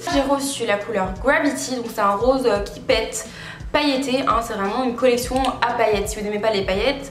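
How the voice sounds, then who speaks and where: A woman speaks fairly quickly in a high voice with ordinary pitch variation. Room echo is audible, along with noticeable background noise. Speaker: beauty youtuber. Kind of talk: giveaway announcement; makeup product review. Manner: fast; animated.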